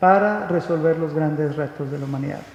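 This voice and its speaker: With a Mexican accent, a man speaks at a fairly high pitch with ordinary pitch variation, amid audible room echo and noticeable background noise. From Mexico. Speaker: conference speaker. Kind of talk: lecture. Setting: stage with audience. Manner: halting, many fillers.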